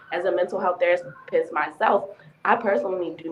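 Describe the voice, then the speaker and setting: Over music in the background, a woman speaks at a very fast pace with a fairly low pitch and fairly even intonation. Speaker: mental health therapist. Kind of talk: panel discussion.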